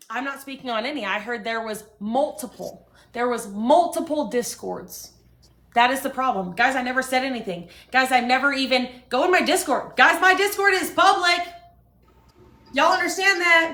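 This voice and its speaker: A woman with a high pitch projects a raised voice in an animated, bright and sharp tone. Her pitch swings very widely. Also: moderate pace. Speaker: livestreamer. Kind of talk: heated rant on livestream. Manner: loud.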